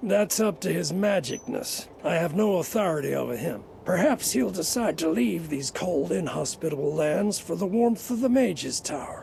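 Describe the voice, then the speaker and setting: A raspy put-on character voice at middle pitch goes along at a moderate pace against clear background noise. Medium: video game. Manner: matter-of-fact, wry.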